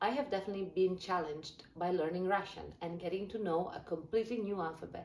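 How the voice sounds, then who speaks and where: Against audible room echo, a woman of medium pitch speaks at a fairly quick pace with ordinary pitch variation. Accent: Italian. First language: Italian. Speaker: language learning youtuber. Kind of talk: scripted explainer video.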